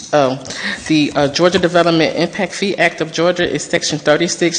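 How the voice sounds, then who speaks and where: With noticeable background noise, a woman speaks at a moderate pace and with fairly even intonation. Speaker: consultant presenter. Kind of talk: presentation. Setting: city council meeting.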